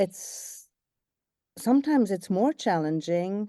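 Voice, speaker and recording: Pitch from this woman swings very widely. She moves at a fairly slow pace. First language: English, German and Swiss German. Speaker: voice actor. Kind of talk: interview answer.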